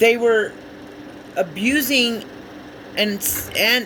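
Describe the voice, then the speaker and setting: Noticeable background noise is present. The speech moves at a very slow pace. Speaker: spiritual tarot reader. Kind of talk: casual spiritual monologue. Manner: halting, many fillers.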